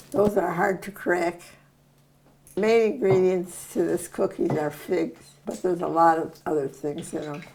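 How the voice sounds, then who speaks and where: A woman with an American accent talks at a moderate pace in a fairly low pitch. Her pitch varies in an ordinary way, and there is noticeable background noise. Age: 90s. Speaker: home cook sharing Depression-era memories. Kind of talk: cooking tutorial with reminiscing. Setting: home kitchen.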